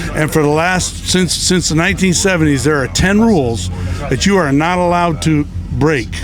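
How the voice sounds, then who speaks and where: With music in the background and audible room echo, a man with an American accent speaks at a fairly high pitch with ordinary pitch variation. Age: 60s. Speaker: tailgating fan. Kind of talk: casual interview. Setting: outdoors at a tailgate. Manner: emphatic.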